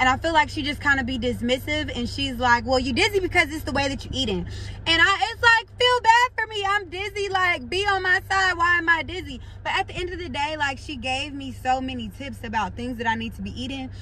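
A woman's raised, projected voice at a fairly quick pace, with very wide pitch swings and big swings in loudness, dry with no echo and light background noise. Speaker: vlogger. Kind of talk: casual vlog chat. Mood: animated, frustrated storytelling. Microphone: phone near.

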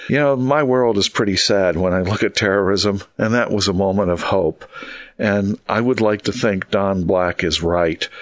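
Speaking with a plain, everyday voice, a man keeps a fairly low pitch, ordinary pitch variation and a moderate pace. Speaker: university professor and terrorism expert. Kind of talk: casual discussion. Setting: remote call.

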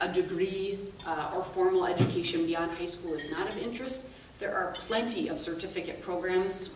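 Speaking at a fairly slow pace, a woman with a fairly low pitch is heard over light background noise with audible room echo. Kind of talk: presentation talk. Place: meeting room. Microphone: camera far.

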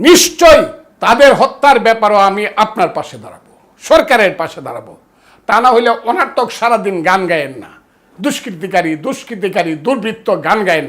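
High in pitch, a man's voice makes very wide pitch swings and big swings in loudness. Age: 70s. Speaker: lawyer and political speaker. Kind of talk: political speech. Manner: impassioned, declamatory.

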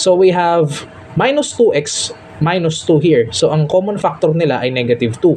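A man at a moderate pace, fairly high-pitched, with lively intonation, very even loudness and music in the background. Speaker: math tutor; undergraduate student. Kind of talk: tutorial.

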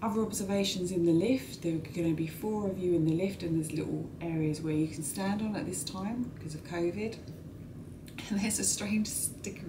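Fairly quick speech from a woman with a fairly low pitch, set against noticeable background noise. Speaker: travel vlogger. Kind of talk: casual vlog chat. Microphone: phone near.

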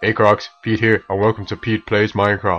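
A man's put-on character voice in a monotone, flat intonation, with light background noise. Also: fairly low pitch for a man, moderate pace. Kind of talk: cheerful channel intro.

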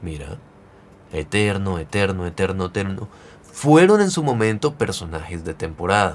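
A man's fairly low voice, fairly slow, with very wide pitch swings. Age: 30s. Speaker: gaming youtuber. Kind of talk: video tutorial. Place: home room.

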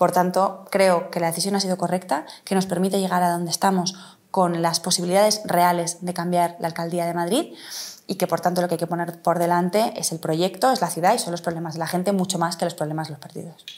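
Her intonation monotone and flat, a woman talks at a fairly quick pace with a fairly low pitch. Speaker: politician, city councillor and mayoral candidate; politician, city councillor, candidate. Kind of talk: interview. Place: office. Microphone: lapel.

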